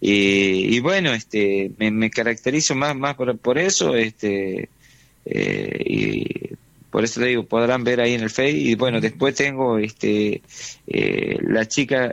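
This is a man speaking in a medium pitch. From Argentina, Chaco. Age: 40s. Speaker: musician and teacher. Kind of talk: interview. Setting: phone call. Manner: hesitant, many fillers.

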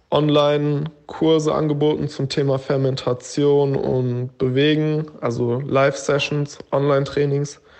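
Speaking at a fairly slow pace, a man uses a fairly high pitch and a flat, monotone intonation. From Frankfurt am Main area, Germany. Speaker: student and health coach. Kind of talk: voice message monologue. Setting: WhatsApp voice message.

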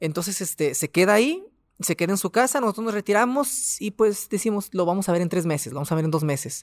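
A man's high-pitched voice at a very fast pace, in a very clean recording with a silent background. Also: lively intonation, dry, close sound with no echo. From Mexico, Ciudad Juárez, Chihuahua. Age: 20s. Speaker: doctor and pharmacy owner. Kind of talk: testimony. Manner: halting.

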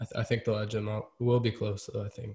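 Speaking at a very fast pace, a man keeps a monotone, flat intonation. His voice is somewhat breathy. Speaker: sports podcast host. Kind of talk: casual chat.

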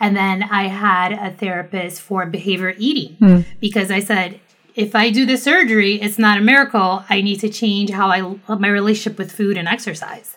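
A woman at a medium pitch speaks with fairly even intonation and hardly any pauses. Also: moderate pace. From Brazil, moved to New York at 10. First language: Portuguese. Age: 30s. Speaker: self-love advocate and podcaster. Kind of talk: casual interview chat.

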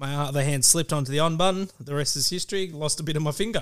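Someone with an Australian accent speaks at a very fast pace with ordinary pitch variation on a very clean recording with a silent background. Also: man. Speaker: guest footy fan. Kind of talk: casual chat. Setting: studio.

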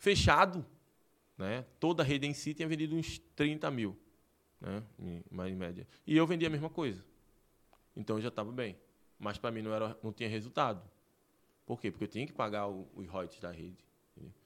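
A man at a medium pitch and fairly quick pace with very wide pitch swings, big swings in loudness, and long, frequent pauses, in a very clean recording with a silent background. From Recife, Pernambuco, Brazil. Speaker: entrepreneur, gym owner. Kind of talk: interview. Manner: animated.

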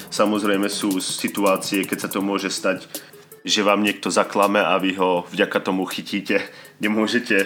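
A man speaks in a fairly low, flat monotone. Music plays in the background. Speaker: podcast host. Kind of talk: casual monologue. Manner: nervous.

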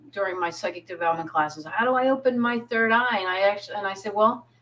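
A woman speaks with an American accent at medium pitch and ordinary pitch variation. Noticeable background noise sits behind her. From US, southern New Jersey (Pine Barrens). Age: 50s. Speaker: psychic medium. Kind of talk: casual interview chat.

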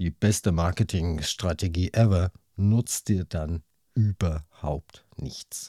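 A man's very deep, low, dark and mellow voice, somewhat breathy and very slow, in a very clean, dry, close recording with a silent background and no echo. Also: ordinary pitch variation. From Hesse, near Frankfurt. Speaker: podcast host. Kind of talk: interview.

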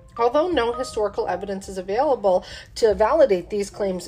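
Noticeable background noise runs under the recording. A woman speaks with lively intonation. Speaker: paranormal podcast host. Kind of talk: true-crime horror narration, reading haunted-bridge legends; casual chat with beer tasting intro. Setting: home studio, drinking beer. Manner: measured, storyteller cadence, spooky and matter-of-fact; casual, chatty, with fillers.

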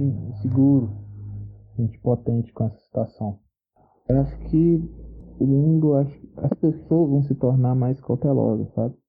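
A man at medium pitch and a fairly slow pace, with ordinary pitch variation, big swings in loudness, and long, frequent pauses. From Minas Gerais, Brazil. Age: 20s. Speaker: construction worker. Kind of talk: recorded personal testimony. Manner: hesitant, repeated words.

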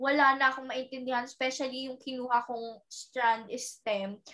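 A woman's voice comes through high in pitch with a bright, sharp tone. Her intonation is fairly even, and her pace is moderate. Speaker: actress. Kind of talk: casual chat.

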